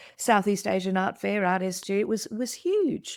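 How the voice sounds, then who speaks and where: A woman in an Australian accent speaks at a moderate pace. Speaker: podcast co-host, art deco expert. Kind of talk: casual chat. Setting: video call. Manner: halting with repeated words.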